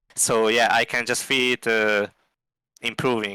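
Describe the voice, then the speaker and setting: In a very clean recording with a silent background and a dry, close sound with no echo, a man with a non-native accent speaks fairly slowly, with a bright, sharp tone and fairly even intonation. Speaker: esports player. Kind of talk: interview. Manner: halting, many fillers.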